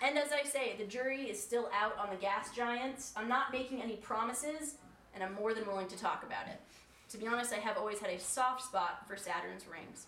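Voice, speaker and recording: Over noticeable background noise, a woman talks at a fairly quick pace in a fairly high voice with ordinary pitch variation. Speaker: storyteller. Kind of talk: reading old speeches aloud with humor. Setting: stage with audience.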